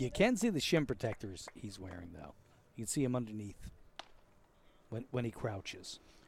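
A man's medium-pitched, somewhat breathy voice with an American accent, lively intonation, a moderate pace and long, frequent pauses. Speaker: broadcast producer and color commentator. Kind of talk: scripted broadcast intro and sponsor reads. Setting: press booth at outdoor ballfield. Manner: joking, wry.

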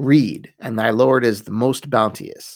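Very slowly, a man speaks in a dramatic tone with vocal fry. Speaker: podcast host. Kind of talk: scripted-style solo podcast narration, history lesson. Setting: studio. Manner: conversational, wry, self-deprecating humor; dramatic, storytelling narration in the first-revelation passage.

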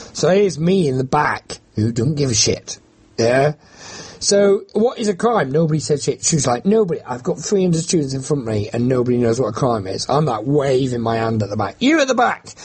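A man's somewhat breathy, fairly high voice with very wide pitch swings at a fairly quick pace. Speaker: campaigner against bill payment. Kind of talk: interview.

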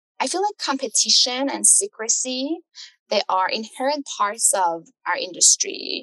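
Someone speaks with an Iranian accent in a dry, close sound with no echo. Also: woman. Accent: Iranian (Persian) accent in English. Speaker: architecture tech startup founder. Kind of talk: podcast interview.

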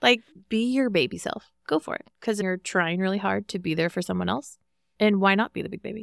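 At a fairly quick pace, a woman talks in an animated tone at medium pitch with ordinary pitch variation. The sound is dry and close with no echo, on a very clean recording with a silent background. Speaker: medical social worker. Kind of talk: casual chat. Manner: perky, animated; loud.

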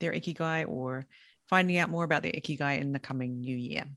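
A woman with an English accent. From England. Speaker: podcast manager and interviewer. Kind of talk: casual interview.

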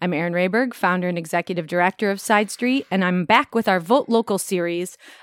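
In a normal speaking voice with an American accent, a woman talks fairly quickly with ordinary pitch variation, in a very clean recording with a silent background and a dry, close sound with no echo. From Elgin, Illinois, US Midwest. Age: 40s. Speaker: podcast host and arts nonprofit director. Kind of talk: interview.

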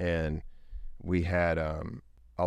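A man with a Texan accent talks in a very deep, low pitch. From East Texas, Longview. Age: 30s. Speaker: oil and gas entrepreneur. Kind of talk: interview.

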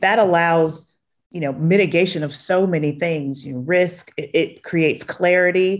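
Intonation remains fairly even throughout. Delivery holds a moderate pace. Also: woman, fairly low pitch for a woman. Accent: Southern US. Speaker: chief people officer. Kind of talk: interview conversation.

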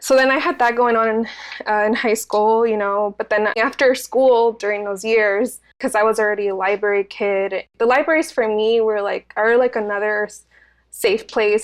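A woman speaks in a fairly high pitch over a quiet background. She has an unremarkable speaking voice. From Santa Ana, California (Mexican immigrant parents). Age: 20s. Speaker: community bookstore and arts organizer. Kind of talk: interview.

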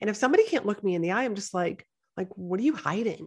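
A woman with an American accent speaks with vocal fry. The background is quiet. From New England, US. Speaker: podcast host and business mentor. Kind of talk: interview, casual chat.

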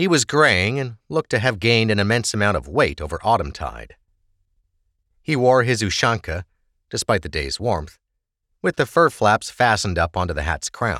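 A man with a fairly low pitch, vocal fry and a bright, sharp tone speaks at a moderate pace with very wide pitch swings, in a very clean recording with a silent background and a dry, close sound with no echo. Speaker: audiobook narrator. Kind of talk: dramatic fantasy audiobook narration with character dialogue. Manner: measured, expressive storytelling cadence; voices distinct characters in dialogue.

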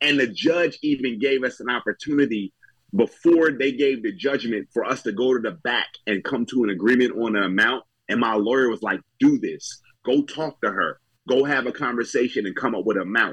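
Speaking in an ordinary speaking voice with an American accent, a man talks at a fairly quick pace, at a medium pitch with ordinary pitch variation. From New Jersey. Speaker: stand-up comedian. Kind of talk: casual chat.

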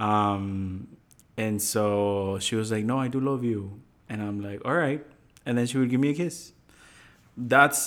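A man speaks in a plain, everyday voice at a fairly low pitch. His pace is fairly slow and his pitch varies in an ordinary way. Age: 20s. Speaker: husband answering questions. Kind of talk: casual chat.

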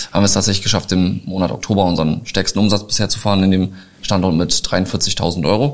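A man with an ordinary speaking voice, fairly low pitch, ordinary pitch variation and a moderate pace. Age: 30s. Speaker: short-term rental entrepreneur. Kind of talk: interview. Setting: live event venue.

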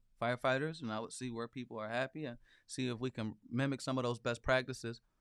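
A man talks at a fairly quick pace in a medium pitch, with monotone, flat intonation. The background is quiet. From Flint, Michigan, US Midwest. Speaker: city council candidate. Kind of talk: interview. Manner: halting, repeats words.

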